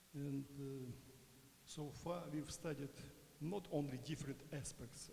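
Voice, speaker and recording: Light background noise sits behind a man with a fairly high pitch and a dark, mellow tone. His intonation is fairly even, with vocal fry. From Ukraine. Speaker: sociology professor. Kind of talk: conference lecture. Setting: lecture hall with audience. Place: hall.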